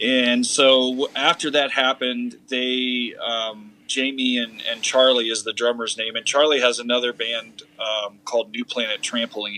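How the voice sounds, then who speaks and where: A man speaks in a flat monotone at a fairly slow pace, with a medium pitch. Noticeable background noise runs underneath. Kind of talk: casual chat.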